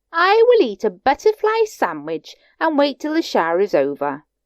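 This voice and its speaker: Here a woman uses a put-on character voice. It is high pitched and moves at a moderate pace. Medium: read story. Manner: prim, polite.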